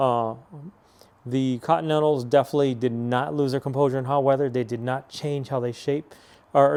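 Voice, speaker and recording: A man talks in a monotone, flat intonation at a medium pitch. His voice carries a dark, mellow tone. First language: Spanish. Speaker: car enthusiast vlogger. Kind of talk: casual product review. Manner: casual, hesitant with fillers.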